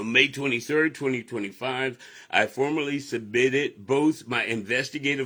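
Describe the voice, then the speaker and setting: A man's medium-pitched voice, bright and sharp in tone, with fairly even intonation at a moderate pace. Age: 60s. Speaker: preacher and political candidate. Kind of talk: campaign livestream address. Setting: live stream. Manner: conversational, with repetitions and fillers.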